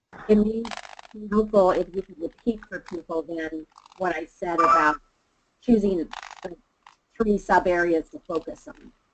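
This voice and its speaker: Loud and at a medium pitch, a woman speaks at a fairly slow pace with ordinary pitch variation and long, frequent pauses, in a dry sound with no echo over noticeable background noise. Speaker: webinar presenter. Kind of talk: webinar discussion. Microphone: muffled, fading in and out; video call.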